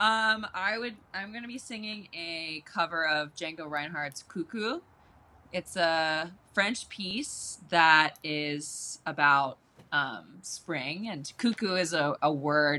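In a very clean recording with a silent background, a woman speaks very slowly at a fairly low pitch, her tone bright and sharp, with lively intonation and big swings in loudness. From Baltimore. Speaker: musician and artist. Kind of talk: casual chat.

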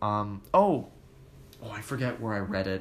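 In a Canadian accent, a man with an ordinary speaking voice talks at a fairly slow pace, his fairly low pitch showing ordinary pitch variation. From Toronto, Canada. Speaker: fitness podcast host. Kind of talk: casual solo podcast, reading listener comments.

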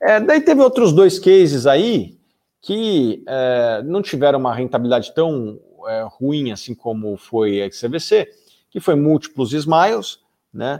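A man's dark, mellow voice at a fairly slow pace, with very wide pitch swings. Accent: Brazilian. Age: 30s. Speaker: investment analyst and podcast host. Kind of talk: livestream lecture on investing. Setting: live stream.

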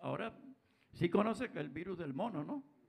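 This man has a high pitch. His intonation is lively. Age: old. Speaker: musician in a touring band. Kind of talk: casual chat.

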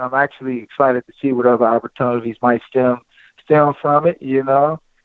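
A man with an American accent, an ordinary speaking voice, medium pitch and fairly even intonation. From Cincinnati, Ohio. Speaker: former college basketball player and color analyst. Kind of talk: interview.

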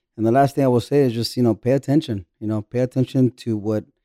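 In a dry, close recording with no echo, a man with a dark, mellow tone talks very fast at medium pitch with ordinary pitch variation. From Orange County, California. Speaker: construction general foreman. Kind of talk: casual interview.

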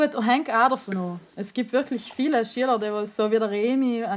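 This woman has an unremarkable speaking voice with fairly high pitch. She keeps a moderate pace and fairly even intonation. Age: 30s. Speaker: teacher. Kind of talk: casual chat.

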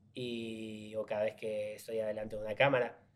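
Speaking with a slight Argentine accent, a man keeps his intonation fairly even. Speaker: actor. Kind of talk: casual interview chat.

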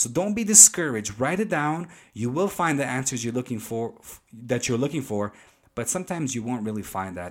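A man with a non-native accent speaks at a moderate pace with lively intonation. The recording is very clean, with a silent background. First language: not English. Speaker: pastor and podcast host. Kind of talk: teaching monologue.

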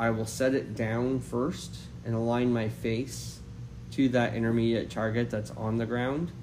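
A man's medium-pitched voice, monotone and flat, at a fairly slow pace with audible room echo. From Canada, Maritimes. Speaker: golf coach. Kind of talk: interview.

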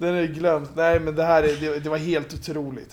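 A man's fairly high voice at a moderate pace, flat and monotone in intonation. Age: 30s. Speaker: basketball pundit. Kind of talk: casual chat.

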